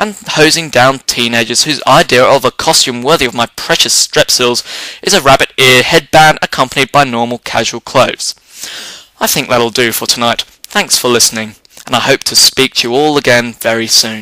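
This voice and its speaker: A man with an English accent, medium pitch and ordinary pitch variation, at a moderate pace in a dry, close sound with no echo. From England. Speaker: comedy vlogger. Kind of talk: comedic rant. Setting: home office chair. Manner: whimsical, wordy.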